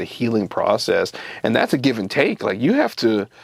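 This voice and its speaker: Noticeable background noise sits under speech at a moderate pace. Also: man. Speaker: interviewer. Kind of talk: interview questions.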